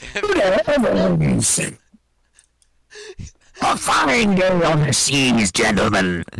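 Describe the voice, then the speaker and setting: A booming, put-on character voice at low-to-middle pitch, very slow, with long, frequent pauses. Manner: very loud, booming.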